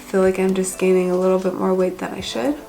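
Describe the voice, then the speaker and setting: A woman's medium-pitched voice with an American accent, audible room echo and music in the background. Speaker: vlogger. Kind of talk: casual vlog update. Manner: chatty, many fillers.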